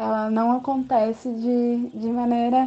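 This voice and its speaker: A woman's high-pitched voice, monotone and flat, at a very slow pace. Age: 20s. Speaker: geography teacher. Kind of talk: testimony. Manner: halting.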